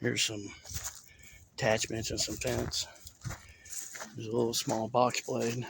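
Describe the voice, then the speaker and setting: Over noticeable background noise, a man with a Southern US accent speaks at a moderate pace in a medium-pitched, monotone, flat voice with long, frequent pauses. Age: 30s. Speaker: rural vlogger. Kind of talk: casual walkthrough narration.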